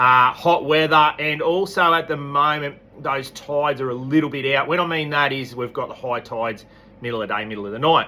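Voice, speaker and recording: With an Australian accent, a man speaks at a fairly quick pace and a fairly high pitch, with ordinary pitch variation and noticeable background noise. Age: 40s. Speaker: fishing tackle shop owner. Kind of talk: weekly fishing report. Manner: casual, relaxed.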